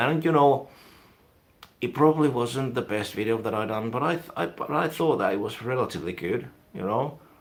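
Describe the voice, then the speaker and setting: With a Finnish accent, a man talks at a fairly quick pace. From Finland. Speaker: YouTuber, music and film reviewer. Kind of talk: live stream casual chat. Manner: rambling, hesitant with fillers.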